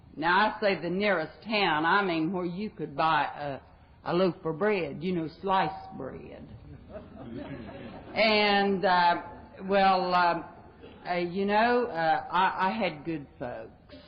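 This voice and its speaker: In an American accent, the speaker goes at a very slow pace with ordinary pitch variation and long, frequent pauses, with audible room echo and noticeable background noise. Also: woman, medium pitch for a woman. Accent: Southern-sounding to people back home. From West Virginia. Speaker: recovering alcoholic speaker. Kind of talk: recovery talk. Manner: folksy, humorous.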